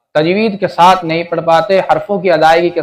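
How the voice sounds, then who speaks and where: A high-pitched man with fairly even intonation. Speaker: Quran teacher. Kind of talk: religious lesson voiceover.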